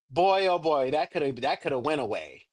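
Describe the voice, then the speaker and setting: A man with a fairly high pitch speaks in an animated, energetic tone at a fairly quick pace, with ordinary pitch variation over a quiet background. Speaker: livestream coach / agency mentor. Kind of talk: online workshop / coaching session. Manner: loud.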